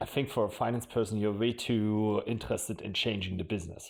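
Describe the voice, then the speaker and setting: In a very clean recording with a silent background, a man with a German accent speaks fairly quickly at a fairly low pitch, his intonation fairly even. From Germany. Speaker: marketing executive. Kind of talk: podcast interview.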